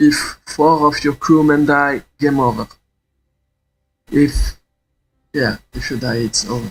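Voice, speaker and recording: A man with a non-native accent at fairly high pitch, very slow pace, fairly even intonation and long, frequent pauses. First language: not English. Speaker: gaming YouTuber. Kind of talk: tutorial. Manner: halting.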